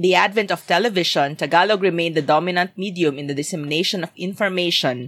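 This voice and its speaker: On a very clean recording with a silent background, a woman speaks at a very fast pace with ordinary pitch variation. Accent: Filipino. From Philippines (Visayas). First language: Bisaya (Cebuano). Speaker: podcast co-host. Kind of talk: casual chat.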